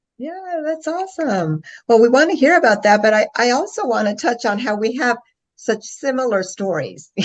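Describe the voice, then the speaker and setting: Her pitch high and swinging very widely, a woman talks at a moderate pace. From Alexandria, Virginia, US. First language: Spanish. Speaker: podcast host. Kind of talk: interview.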